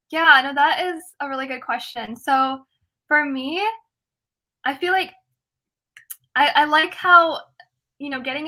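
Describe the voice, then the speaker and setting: A woman's raised, projected voice, high and with a bright, sharp tone, at a moderate pace in an American accent. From US Midwest, Ohio. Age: 20s. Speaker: student activist. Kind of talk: interview. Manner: casual, filler-heavy.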